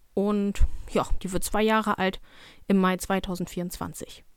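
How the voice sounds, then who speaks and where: A woman's medium-pitched voice at a very slow pace, with ordinary pitch variation and a dry, close sound free of echo. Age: 20s. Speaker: dog trainer and podcast host. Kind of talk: casual solo podcast monologue.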